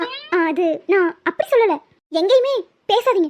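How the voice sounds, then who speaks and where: A woman speaks in a cartoonish character voice, squeaky and extremely high-pitched with very wide pitch swings. The sound is dry and close with no echo, at a moderate pace. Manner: sulky, pouty.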